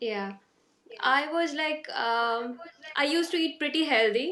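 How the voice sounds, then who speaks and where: A woman with an Indian accent has a bright, sharp tone. She speaks at a fairly slow pace with ordinary pitch variation. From India, Karnataka (Hubballi). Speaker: stay-at-home mum, program participant. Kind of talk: interview testimony. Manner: halting, many fillers.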